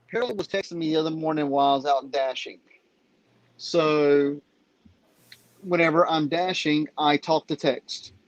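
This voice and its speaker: A Southern accent at a moderate pace, with long, frequent pauses. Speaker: live stream participant. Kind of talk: casual chat.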